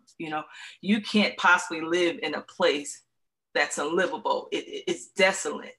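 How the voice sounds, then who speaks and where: A woman with an American accent uses a normal speaking voice at a medium pitch and a moderate pace. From Central New York (Syracuse). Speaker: author and ministry speaker. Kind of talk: faith-based interview conversation.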